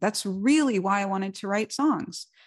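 In a normal speaking voice with an American accent, a woman speaks at a fairly slow pace with ordinary pitch variation, in a dry, close sound with no echo against a quiet background. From New York, the Bronx. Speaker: songwriter and musician. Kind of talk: interview conversation.

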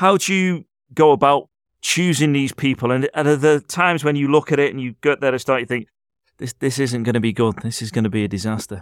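With a Liverpool accent, a man talks at a fairly quick pace in a fairly high pitch, varying it in an ordinary way. The recording is very clean with a silent background and a dry, close sound with no echo. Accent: Liverpool (Scouse). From Liverpool, England. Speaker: radio host. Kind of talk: casual chat; scripted intro.

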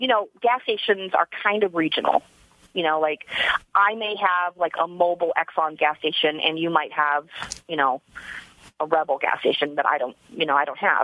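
An ordinary speaking voice at a fairly quick pace. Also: woman. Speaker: citizen detective. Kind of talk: interview. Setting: studio.

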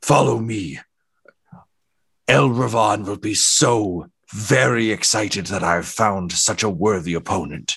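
Using a put-on character voice, a man speaks fairly slowly at a fairly low pitch, with long, frequent pauses. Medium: actual play. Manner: condescending, grandly formal, sly.

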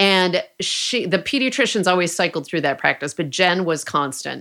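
In a very clean recording with a silent background, a woman speaks at a moderate pace in a bright, sharp tone. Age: 50s. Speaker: author and podcast host. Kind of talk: interview.

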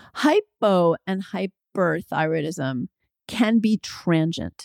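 A woman with a fairly low pitch is heard in a dry, close sound with no echo. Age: 50s. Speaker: physician and midwife podcast host. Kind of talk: solo health podcast Q&A monologue.

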